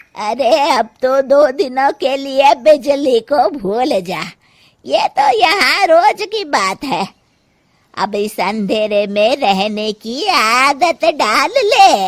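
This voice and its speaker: This cartoonish character voice moves at a very slow pace with very wide pitch swings. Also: woman, high pitch for a woman. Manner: blunt, commanding.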